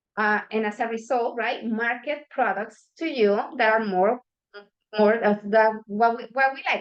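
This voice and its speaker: Ordinary pitch variation with a non-native accent. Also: woman. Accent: non-native English, self-noted pronunciation. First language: not English. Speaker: workshop presenter. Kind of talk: workshop presentation. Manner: hesitant, with fillers and restarts.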